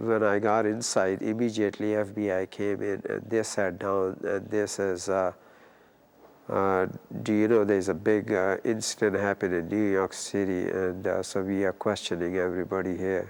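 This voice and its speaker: Flat and monotone, a man speaks with a Pakistani accent. His pitch is fairly low. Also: moderate pace. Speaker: former detainee. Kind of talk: testimony. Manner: hesitant, many fillers.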